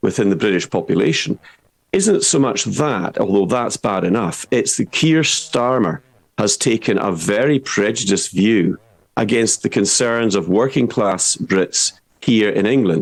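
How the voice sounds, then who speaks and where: A man with a Scottish accent at a fairly slow pace, medium in pitch, with lively intonation. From Scottish Highlands. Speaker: political commentator. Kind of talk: online show discussion. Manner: animated; halting, repeats words.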